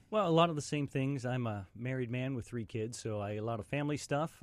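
With an American accent, a man talks in an ordinary speaking voice at a medium pitch and fairly quick pace with ordinary pitch variation, on a very clean recording with a silent background. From West Virginia. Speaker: stand-up comedian. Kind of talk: casual chat. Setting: studio.

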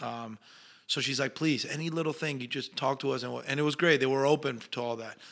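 A man with a Spanish accent talks at a fairly quick pace and fairly high pitch. His intonation is fairly even, and the recording is very clean with a silent background. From Argentina. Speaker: actor. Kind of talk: casual interview chat.

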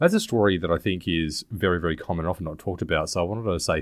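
This man has a very deep, low pitch and ordinary pitch variation. He talks at a very fast pace. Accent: Australian. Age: 30s. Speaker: podcast co-host. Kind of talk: casual chat.

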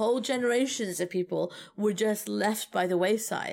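A woman in a plain, everyday voice, medium in pitch with ordinary pitch variation, at a moderate pace. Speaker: podcast co-host. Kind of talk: casual chat.

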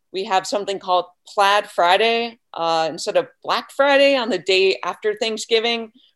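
In an American accent, the speaker uses an ordinary speaking voice at a moderate pace. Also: woman. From New Hampshire, US. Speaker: nonprofit program manager. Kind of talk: radio interview.

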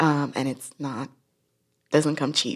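The recording of this woman's voice is very clean, with a silent background. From Nigeria. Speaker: urban farmer and educator. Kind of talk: casual interview conversation.

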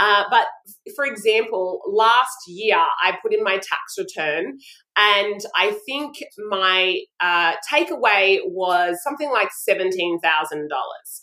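A woman's medium-pitched voice with an Australian accent, bright and sharp in tone, with lively intonation at a very slow pace. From Brisbane, Australia. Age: 40s. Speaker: style coach and image consultant. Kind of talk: casual interview chat.

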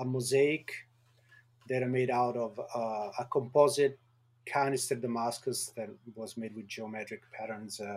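A man talks at medium pitch. His pace is moderate and his intonation fairly even.

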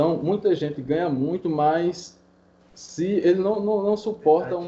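A man with a high voice speaks at a moderate pace, his pitch varying in an ordinary way. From Paraíba, Brazil. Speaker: podcast listener, sports bettor. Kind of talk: casual chat.

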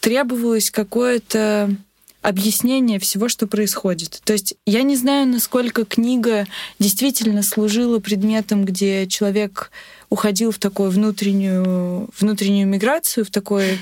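A woman talks in an unremarkable speaking voice at a fairly high pitch and a fairly slow pace. Her intonation is fairly even and her loudness very even. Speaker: literature student researcher. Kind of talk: interview.

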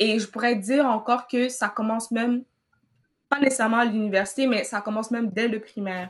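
The speaker has an unremarkable speaking voice and a fairly quick pace. Intonation stays fairly even. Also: woman. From Cameroon. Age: 20s. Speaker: university student. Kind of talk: interview.

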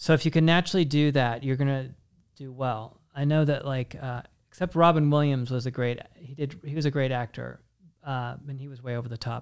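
In an unremarkable speaking voice, a man talks at a fairly quick pace and medium pitch, his intonation fairly even. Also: big swings in loudness. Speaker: podcast host. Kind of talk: casual interview chat.

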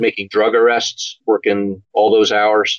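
A man with an American accent talks at a moderate pace in an unremarkable speaking voice. His pitch varies in an ordinary way. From Philadelphia suburbs, Pennsylvania. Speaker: retired police officer and crime novelist. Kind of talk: interview.

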